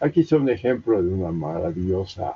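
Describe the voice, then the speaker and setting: Somewhat breathy, a man speaks at a fairly slow pace with a very deep, low pitch and ordinary pitch variation. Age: 70s. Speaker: professor and maize researcher. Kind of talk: lecture. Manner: halting, with many fillers and restarts.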